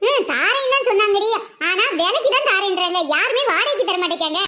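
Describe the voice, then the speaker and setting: In a cartoonish character voice, a woman talks at a moderate pace with an extremely high pitch and very even loudness. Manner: stubborn, self-satisfied.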